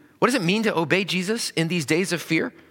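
At a moderate pace, a man speaks in a bright, sharp tone with vocal fry. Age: 40s. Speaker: pastor. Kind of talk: sermon.

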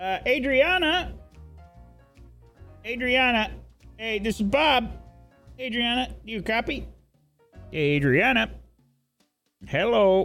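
Over faint background music, a man uses a put-on character voice, high-pitched with very wide pitch swings, speaking fairly slowly with long, frequent pauses. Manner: whiny and evasive, then worried and flustered.

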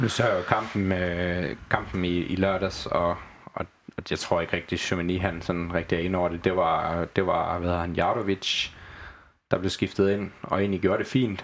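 Very deep and low in pitch, a man speaks at a fairly slow pace in a monotone, flat intonation. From Southern Jutland, Denmark. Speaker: football club fan and former club graphic designer. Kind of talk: casual chat. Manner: halting with repeated words.

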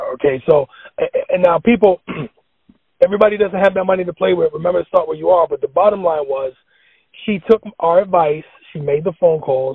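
A man with a high-pitched voice and ordinary pitch variation speaks at a fairly quick pace, broken by long, frequent pauses. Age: 40s. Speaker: financial educator. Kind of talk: financial tutorial in casual chat. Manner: instructive.

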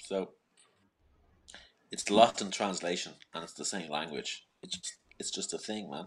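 A man with an Irish accent and a very deep, low pitch, moderate pace with long, frequent pauses, fairly even intonation and big swings in loudness. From Ireland.

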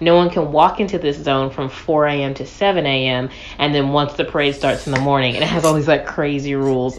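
Over noticeable background noise, a woman with a very deep, low pitch talks at a fairly quick pace with fairly even intonation. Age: 20s. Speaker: podcast co-host. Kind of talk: casual chat.

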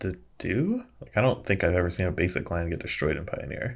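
On a very clean recording with a silent background, a man with an American accent speaks at a fairly quick pace. His voice is very deep, low and somewhat breathy. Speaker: co-host, Magic: The Gathering podcaster. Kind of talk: casual chat. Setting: recorded live on stream with chat.

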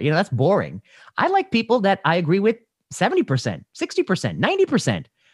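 Over a quiet background with a dry, close sound and no echo, a man speaks very fast with an American accent. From US Midwest. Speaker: podcast host and physician. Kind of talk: interview, conversational.

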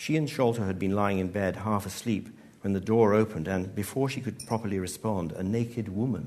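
The intonation is fairly even. Someone does plain reading aloud.

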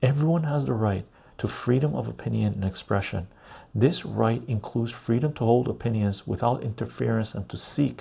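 Soft-spoken and somewhat breathy, a man with a fairly low pitch and a dark, mellow tone uses lively intonation in a very clean recording with a silent background. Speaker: video creator reading aloud. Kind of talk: formal newsreading of a legal text, reading aloud. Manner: measured, even and deliberate, slightly halting with self-corrections.

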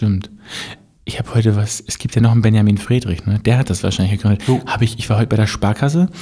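A man talks at a very fast pace with a fairly low pitch and ordinary pitch variation. His tone is dark and mellow, and somewhat breathy. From Mecklenburg-Vorpommern, Germany. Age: 30s. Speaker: podcast co-host. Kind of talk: casual chat.

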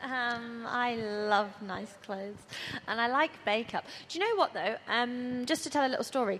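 A woman has an unremarkable speaking voice, fairly high in pitch with ordinary pitch variation. She speaks at a fairly slow pace. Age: 20s. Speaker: church youth speaker. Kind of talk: panel talk to teenage girls.

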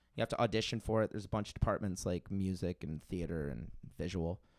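With an American accent and lively intonation, a man talks at a fairly quick pace in an ordinary speaking voice, recorded very cleanly against a silent background with a dry, close sound and no echo. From South Florida (Tequesta). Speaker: musician and podcaster. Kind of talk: casual chat.

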